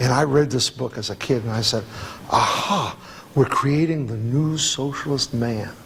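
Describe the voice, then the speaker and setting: Over noticeable background noise, a speaker with an American accent talks at a moderate pace. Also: man. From New Jersey, New York suburbs. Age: 60s. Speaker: activist speaker. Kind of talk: Q&A discussion.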